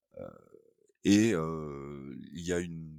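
A man speaks with a very deep, low pitch and lively intonation. The sound is dry and close with no echo. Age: 50s. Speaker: BIM manager. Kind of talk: interview. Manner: hesitant, many filler sounds.

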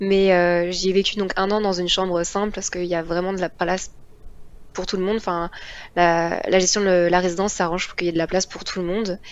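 A woman at medium pitch talks at a very fast pace in a monotone, flat intonation, broken by long, frequent pauses. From Paris region. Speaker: engineering student. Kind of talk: interview.

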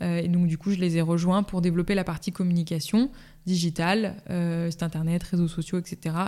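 A woman speaks at a moderate pace in a fairly low, dark, mellow voice, with very even loudness and fairly even intonation, in a very clean recording with a silent background. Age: 20s. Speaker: bakery saleswoman. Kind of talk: interview. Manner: hesitant with fillers.

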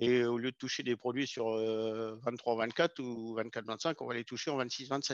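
The sound is dry and close, without any echo. A man talks at a medium pitch. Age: 50s. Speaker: agricultural sales technician. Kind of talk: podcast interview. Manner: hesitant, with frequent fillers.

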